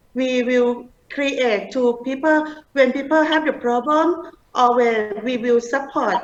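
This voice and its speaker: A woman with a Thai accent speaks at a very slow pace. Her pitch is high, with ordinary variation. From Thailand. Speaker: humanitarian organization leader. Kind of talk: interview. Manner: halting.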